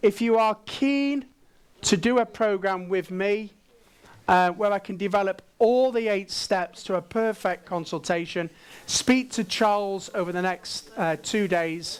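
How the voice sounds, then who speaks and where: A man in a Manchester accent talks at a fairly slow pace in a high pitch, with ordinary pitch variation. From northern England, Manchester. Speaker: dental management trainer and conference speaker. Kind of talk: conference presentation. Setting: stage with audience, simultaneous translation. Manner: animated.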